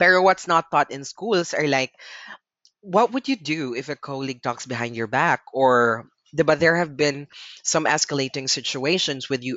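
Speaking in a Filipino accent, a man keeps a moderate pace and a fairly high pitch. His intonation is lively. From Philippines. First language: Tagalog. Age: 20s. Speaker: podcast host. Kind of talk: solo podcast monologue, Taglish.

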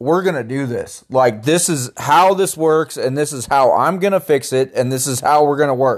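On a very clean recording with a silent background, a man uses a normal speaking voice at a fairly high pitch, with ordinary pitch variation, a moderate pace and hardly any pauses. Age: 30s. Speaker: podcast co-host trying to conceive. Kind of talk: casual chat.

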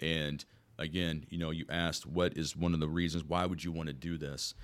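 The voice carries an American accent. Vocal fry runs through it. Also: man. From Southern Illinois, US Midwest. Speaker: police officer and state senate candidate. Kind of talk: interview, campaign-style answers.

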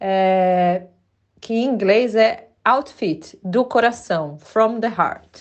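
Her pitch is fairly high. This woman uses ordinary pitch variation. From Brazil. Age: 40s. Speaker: podcast host, sustainable stylist. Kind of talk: casual solo podcast monologue. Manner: hesitant, many filler words.

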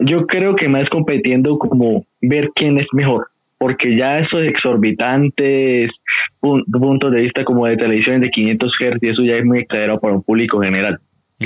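A man with an ordinary speaking voice talks at a moderate pace in a medium pitch, with ordinary pitch variation and very even loudness. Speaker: caller. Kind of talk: casual chat.

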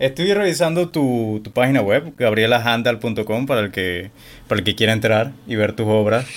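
A man talks with medium pitch, ordinary pitch variation and a moderate speed. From Panama. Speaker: podcast host. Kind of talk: interview.

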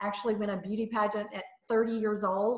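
Talking at a fairly quick pace, a woman with a Southern US accent keeps a medium pitch. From US South, North Mississippi. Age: 60s. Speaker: motivational speaker. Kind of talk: casual chat. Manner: animated.

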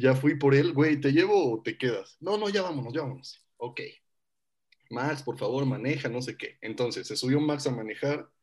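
A man with an ordinary speaking voice, a fairly high pitch, ordinary pitch variation and a moderate pace. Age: 20s. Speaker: podcast co-host. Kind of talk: casual chat.

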